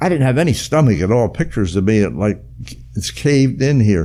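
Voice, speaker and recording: A man's dark, mellow tone with vocal fry, very wide pitch swings and a fairly quick pace. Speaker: WWII veteran, retired firefighter. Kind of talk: interview answer.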